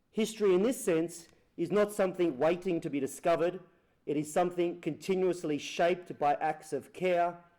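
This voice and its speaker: With an Australian accent, a man speaks at a fairly quick pace in a high pitch, his tone dark and mellow and his pitch variation ordinary. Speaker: photographer and author. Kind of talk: lecture.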